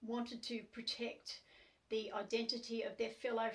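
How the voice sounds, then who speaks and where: A woman with an Australian accent, somewhat breathy, at a fairly slow pace. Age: 60s. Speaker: activist. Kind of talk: testimony. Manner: hesitant, many fillers.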